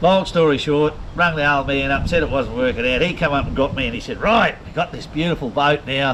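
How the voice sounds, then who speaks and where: Noticeable background noise runs behind this recording. A man talks at a fairly quick pace. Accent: strong Australian. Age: 60s. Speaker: retired professional fisherman. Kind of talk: casual chat. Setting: at his home.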